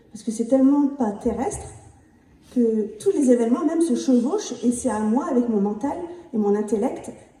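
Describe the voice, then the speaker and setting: A woman with a high-pitched voice speaks at a moderate pace with ordinary pitch variation, amid noticeable background noise and audible room echo. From Picardy, northern France. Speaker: near-death experience witness. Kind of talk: testimony.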